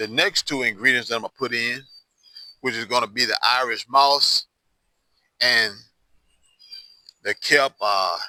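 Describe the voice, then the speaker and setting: Medium-pitched male voice, fairly slow with long, frequent pauses, in a dry, close sound without echo. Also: fairly even intonation. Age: 60s. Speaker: hoodoo practitioner and herbal tutorial host. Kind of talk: tutorial. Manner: casual, conversational.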